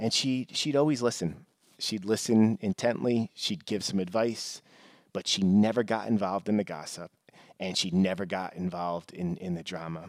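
A man with an American accent speaks at a moderate pace and a fairly low pitch. The sound is dry and close with no echo, on a very clean recording with a silent background. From New York. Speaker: podcast host, corporate leader. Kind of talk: solo monologue podcast. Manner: halting, frequent repetitions.

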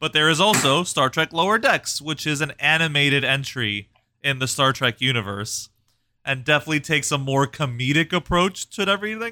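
A man with a bright, sharp, fairly high voice talks at a fairly quick pace with lively intonation, in a dry, close recording with no echo that is very clean and has a silent background. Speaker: podcast co-host. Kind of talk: casual chat.

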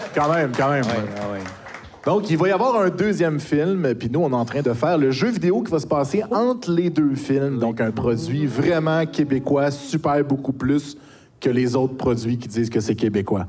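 A man with a fairly high pitch and lively intonation talks at a moderate pace as noticeable background noise plays behind him. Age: 40s. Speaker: YouTuber and streamer. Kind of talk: casual chat.

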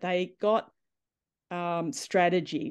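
Speaking with an Australian accent against a quiet background, a woman uses a fairly low voice with ordinary pitch variation. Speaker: netball coach. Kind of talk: interview.

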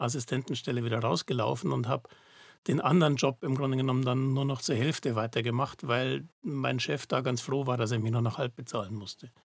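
A man talks at a fairly quick pace. His pitch sits in the medium range, with ordinary variation. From Germany, Munich (Bavaria). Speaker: digital fabrication company founder, computer scientist. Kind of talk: casual interview.

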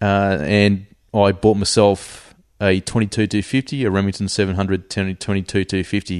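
A fairly low-pitched man's voice with an Australian accent, dry and close with no echo, over a quiet background. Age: 40s. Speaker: hunter and army reservist. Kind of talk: casual interview chat. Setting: at home, in person.

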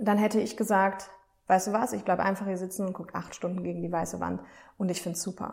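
A woman with vocal fry and a medium pitch speaks at a fairly quick pace in a monotone, flat intonation. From Germany, Aachen. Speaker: self-care podcast host and coach. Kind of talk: casual monologue.

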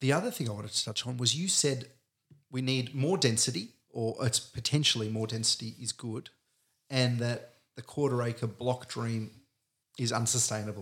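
Using an unremarkable speaking voice, a man talks at a moderate pace with medium pitch and ordinary pitch variation. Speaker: podcast host. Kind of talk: casual chat.

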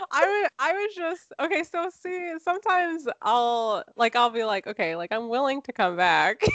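A woman talks at a moderate pace in a high voice with very wide pitch swings and hardly any pauses, the sound dry and close with no echo. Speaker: podcast co-host. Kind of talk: casual chat. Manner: subdued, low-energy.

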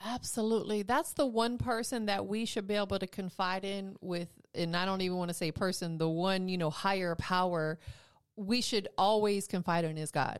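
In a very clean recording with a silent background, a woman speaks at a moderate pace in a plain, everyday voice, her pitch medium and its variation ordinary. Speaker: radio host. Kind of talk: casual radio interview. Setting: radio studio. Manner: upbeat, friendly.

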